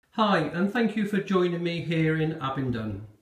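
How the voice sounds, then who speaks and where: Fairly slow delivery in a room with audible echo. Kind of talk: walkthrough tour commentary. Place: bathroom. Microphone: phone near.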